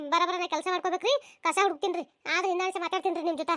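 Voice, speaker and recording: A squeaky, cartoonish character voice from a woman, extremely high in pitch, delivered at a very fast pace with fairly even intonation. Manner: chatty, addresses audience, folksy.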